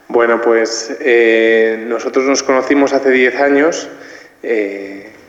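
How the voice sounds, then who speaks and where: Over noticeable background noise, a man at medium pitch talks at a very slow pace with fairly even intonation and very even loudness. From Madrid, Spain. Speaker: married layman giving testimony. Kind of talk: testimony on a panel. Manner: hesitant with many fillers.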